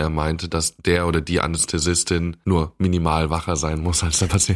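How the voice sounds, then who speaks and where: A man's very deep, low, flat monotone with hardly any pauses, over a silent background in a very clean recording. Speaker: medical student podcast co-host. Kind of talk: casual chat.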